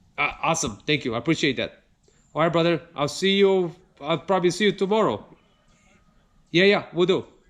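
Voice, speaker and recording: A man's high-pitched voice at a fairly quick pace, with ordinary pitch variation and long, frequent pauses. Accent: non-native. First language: not English. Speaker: car YouTuber. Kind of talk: casual unboxing video. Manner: animated.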